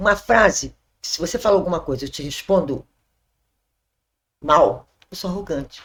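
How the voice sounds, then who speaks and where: A woman speaks with vocal fry. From Brazil, Rio de Janeiro (Zona Sul). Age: 60s. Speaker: church member sharing testimony. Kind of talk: testimony.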